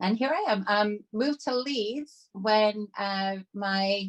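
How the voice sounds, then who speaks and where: Speaking at a very slow pace, a woman has a Canadian accent. Her pitch is medium, with ordinary pitch variation. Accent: predominantly Canadian. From Canada, Toronto. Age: 50s. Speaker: trauma survivor and artist. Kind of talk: casual chat.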